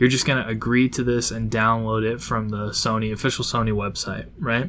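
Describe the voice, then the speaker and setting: A man talks at a moderate pace, his voice carrying audible room echo. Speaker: gaming tutorial youtuber. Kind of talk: tutorial. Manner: hesitant, many fillers; casual.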